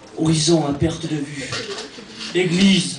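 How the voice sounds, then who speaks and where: There is noticeable background noise and audible room echo. Through it, a man talks at a high pitch. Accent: Auvergne. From France, Cantal (rural central France). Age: 20s. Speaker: stand-up comedian. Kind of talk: stand-up.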